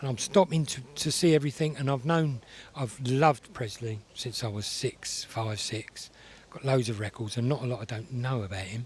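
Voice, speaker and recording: There is noticeable background noise. A man speaks at a medium pitch. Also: ordinary pitch variation. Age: 60s. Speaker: classic car event visitor. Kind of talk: casual interview chat. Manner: fast; animated.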